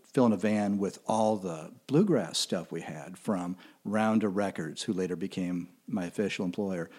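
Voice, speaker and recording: With a dark, mellow tone and a fairly low pitch, a man speaks in a Midwestern American accent in a very clean recording with a silent background. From Kansas City, US Midwest. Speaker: music critic. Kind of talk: casual interview. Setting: studio recording with camera.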